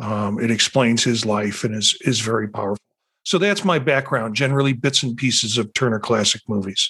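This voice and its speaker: This man talks at a moderate pace and medium pitch with ordinary pitch variation. He has a plain, everyday voice. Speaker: podcast host and counseling faculty. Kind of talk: panel discussion moderated by host.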